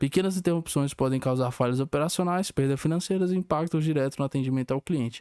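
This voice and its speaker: Speaking at a very fast pace, a man with a fairly high pitch and a dark, mellow tone comes through in a very clean recording with a silent background and a dry, close sound with no echo. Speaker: student. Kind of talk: student presentation, partly reading aloud.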